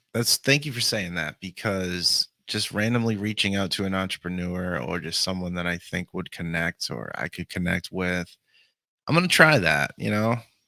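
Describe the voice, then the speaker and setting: With a very deep, low pitch and a bright, sharp tone, a man speaks at a moderate pace in a dry, close recording with no echo and a silent, very clean background. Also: lively intonation. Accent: Boston. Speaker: podcast host. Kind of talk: casual interview chat. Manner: animated.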